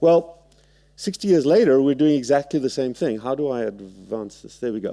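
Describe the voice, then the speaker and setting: Speaking at a fairly quick pace with lively intonation, a man with a fairly high pitch, a dark, mellow tone and a South African accent is captured in a very clean, dry, close recording with no echo and a silent background. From South Africa, Cape Town. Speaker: surgeon. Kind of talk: lecture. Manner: halting.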